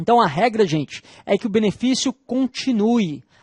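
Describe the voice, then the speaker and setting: In a dry, close recording with no echo and a quiet background, a man talks. His pitch is high and his pace is moderate. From Northeast Brazil. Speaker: law professor. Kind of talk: lecture.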